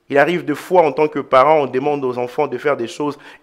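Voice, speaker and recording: This man has a fairly high-pitched voice. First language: an African mother tongue, not French (speaking French). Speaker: pastor. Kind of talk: sermon.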